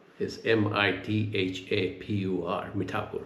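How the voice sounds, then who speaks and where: A man speaks with fairly even intonation and a somewhat breathy voice, with audible echo from the room. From India, Gujarat. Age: 70s. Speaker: retired executive, leadership advisor. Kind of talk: oral history interview.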